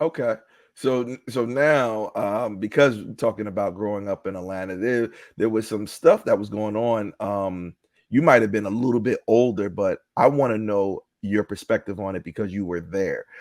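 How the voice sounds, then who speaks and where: In a very clean recording with a silent background and a dry, close sound with no echo, a man talks at a moderate pace in a fairly low pitch with ordinary pitch variation, a normal speaking voice. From US East Coast. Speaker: podcast host. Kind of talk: interview.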